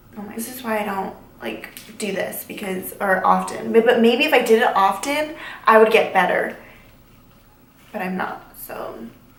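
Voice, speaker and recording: At a moderate pace, a speaker uses ordinary pitch variation, big swings in loudness, and long, frequent pauses, with audible room echo and noticeable background noise. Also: woman, fairly high pitch for a woman. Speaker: beauty vlogger. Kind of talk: makeup tutorial. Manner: casual, filler-heavy.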